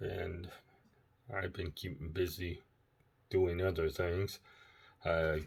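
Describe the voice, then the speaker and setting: A very deep, low-pitched man's voice, quiet and somewhat breathy, very slow and monotone in a flat delivery, with long, frequent pauses, in a very clean recording with a silent background. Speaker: ebike repair video maker. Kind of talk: casual tutorial. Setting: at home, laptop camera. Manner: quiet, hushed; halting with many fillers.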